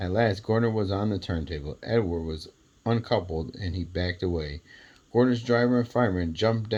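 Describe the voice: Simple, plain reading aloud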